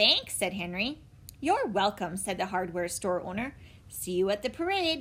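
In an ordinary speaking voice, a woman of medium pitch talks with lively intonation. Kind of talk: children's audiobook reading. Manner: warm, clear, steady pace suited to young listeners.

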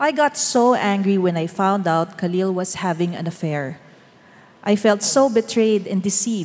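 Speaking at a fairly slow pace, a woman with an unremarkable speaking voice uses lively intonation at a medium pitch. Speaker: church member giving testimony. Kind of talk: testimony.

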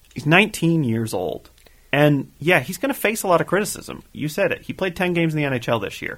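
A man with a Canadian accent talks at a fairly quick pace, his pitch swinging very widely. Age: 20s. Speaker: podcast co-host. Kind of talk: casual chat.

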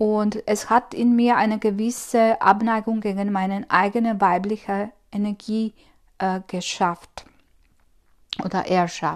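Against a quiet background, a woman speaks very slowly at a fairly high pitch with monotone, flat intonation. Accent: Croatian. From Croatia. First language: Croatian (speaking German). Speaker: spiritual coach. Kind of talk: solo podcast monologue. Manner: hesitant, many fillers.

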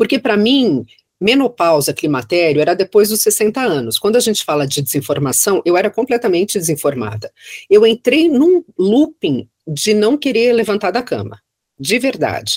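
Her medium-pitched voice carrying vocal fry and very wide pitch swings, a woman speaks at a moderate pace in a dry, close sound with no echo. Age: 50s. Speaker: federal judge. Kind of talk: casual chat.

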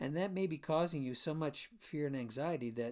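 Speaking at a moderate pace with an American accent, a man with an unremarkable speaking voice shows ordinary pitch variation in a very clean recording with a silent background. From Florida. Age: 60s. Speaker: chiropractor and podcast host. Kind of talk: solo podcast monologue.

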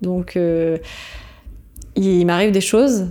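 The woman's voice sits fairly low, with pitch that varies in an ordinary way. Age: 30s. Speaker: podcaster and coach on burnout. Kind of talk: interview. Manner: hesitant.

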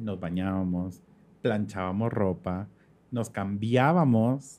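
With a dark, mellow tone, a man speaks at a very slow pace using lively intonation. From Guatemala, moved to Honduras at 15. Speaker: fashion stylist. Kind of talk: casual chat.

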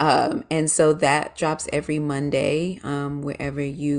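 A woman speaks with monotone, flat intonation at a very deep, low pitch, with vocal fry. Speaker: small business owner. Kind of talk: casual interview chat.

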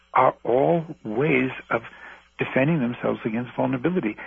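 A man speaks in an ordinary speaking voice at medium pitch, keeping a moderate pace and a lively intonation. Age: 60s. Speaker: former doctor and healer. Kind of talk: radio interview. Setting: phone call.

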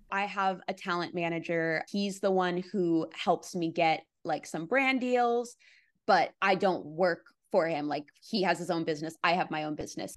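Against a quiet background, a woman with a fairly low pitch has a normal speaking voice, moderate in pace with ordinary pitch variation. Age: 20s. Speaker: content creator. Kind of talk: interview.

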